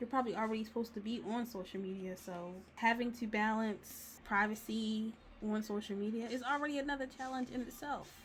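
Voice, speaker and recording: A woman's somewhat breathy, fairly high-pitched voice at a fairly quick pace. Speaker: digital artist and video creator. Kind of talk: casual chat while coloring. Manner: animated; casual, rambling chat.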